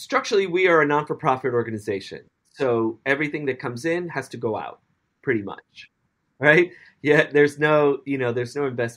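Against a quiet background, a man with a normal speaking voice talks at a fairly quick pace, fairly high in pitch with ordinary pitch variation. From US Northeast, the Bronx, New York City. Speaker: dance company director. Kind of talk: interview.

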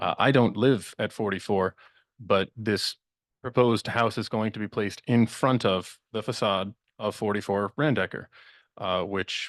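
In a quiet background with a dry, close sound and no echo, a man with a fairly low pitch talks at a moderate pace. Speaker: resident speaking at public hearing. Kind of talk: public comment at a town meeting. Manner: halting, many fillers.

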